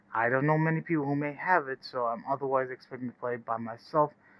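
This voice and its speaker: A man speaks at a moderate pace in a medium pitch, his intonation fairly even. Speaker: gaming streamer. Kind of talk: live stream gameplay chat. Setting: home live stream at night. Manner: quiet, not loud; rambling, hesitant with fillers. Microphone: echo.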